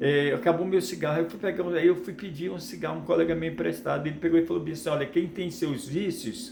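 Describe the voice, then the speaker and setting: The clip has audible room echo along with noticeable background noise. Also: man. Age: 60s. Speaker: preacher. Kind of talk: sermon. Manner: halting, with repetitions.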